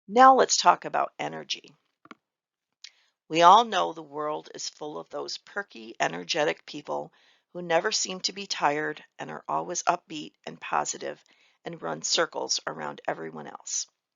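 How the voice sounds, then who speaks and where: The voice moves at a moderate pace, with big swings in loudness. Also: woman. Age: 60s. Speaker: webinar presenter on admin skills. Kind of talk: presentation.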